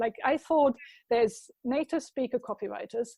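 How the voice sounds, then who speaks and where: Speaking at a moderate pace with ordinary pitch variation, a woman with a German accent has a high voice, recorded with a dry, close sound and no echo. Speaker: marketing consultant. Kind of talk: casual chat.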